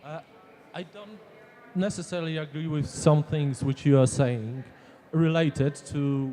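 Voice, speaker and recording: A dark, mellow voice with a non-native accent and ordinary pitch variation. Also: man. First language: Polish. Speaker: audience member. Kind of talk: audience question.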